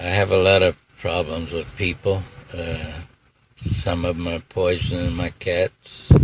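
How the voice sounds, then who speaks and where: The speech moves at a fairly slow pace in a monotone, flat intonation, broken by long, frequent pauses. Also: man, very deep, low pitch for a man. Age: 80s+. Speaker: retired iron worker, feeds feral cats. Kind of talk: interview answer. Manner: soft-spoken.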